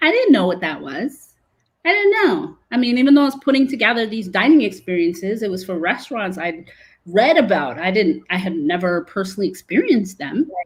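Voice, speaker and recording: At a fairly quick pace, the speaker's pitch swings very widely. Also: woman, medium pitch for a woman. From Brooklyn, New York, Caribbean family. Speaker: food industry advocate. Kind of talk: interview conversation. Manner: loud; animated.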